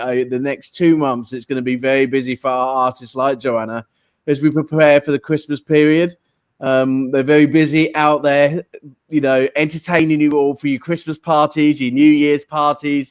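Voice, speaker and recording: Monotone, flat intonation in an English accent on a very clean recording with a silent background. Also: man. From England. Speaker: online radio show host. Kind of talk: live show chat. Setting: live studio, guest sitting beside him. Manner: relaxed, frequent fillers.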